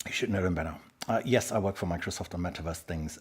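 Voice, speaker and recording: Talking very fast, a man has a somewhat breathy sound. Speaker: tech speaker and livestream host. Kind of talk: live-streamed presentation.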